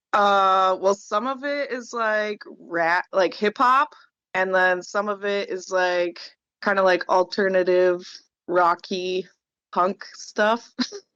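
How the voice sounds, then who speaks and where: A woman's medium-pitched voice, bright and sharp in tone, at a very slow pace with ordinary pitch variation, the sound dry and close with no echo against a quiet background. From Alaska. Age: 20s. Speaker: traveling musician. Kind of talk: casual chat. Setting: video call.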